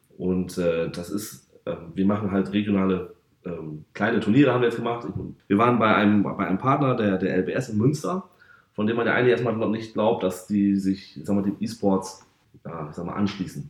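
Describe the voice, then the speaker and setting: With a plain, everyday voice, a man speaks at a moderate pace, fairly low in pitch with ordinary pitch variation. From northern Germany, North Sea coast (Varel). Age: 30s. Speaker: football club sponsorship manager. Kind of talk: podcast interview. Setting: football stadium.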